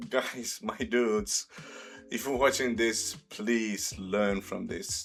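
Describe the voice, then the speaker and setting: Slowly, very slowly, a man with a non-native accent speaks at medium pitch. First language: not English. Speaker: reaction video host. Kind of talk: casual commentary. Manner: halting, with pauses.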